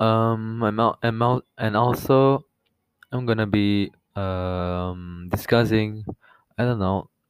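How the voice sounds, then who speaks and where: Speaking very slowly with a non-native accent, a man keeps his fairly low voice at a fairly even intonation. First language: not English. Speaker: podcast host. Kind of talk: casual monologue. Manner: halting, many fillers.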